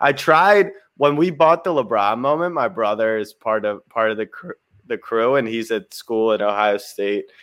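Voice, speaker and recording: A man with an American accent speaks in a normal speaking voice at a moderate pace and medium pitch. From Maryland, US. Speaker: livestream co-host. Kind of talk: casual livestream chat. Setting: online livestream.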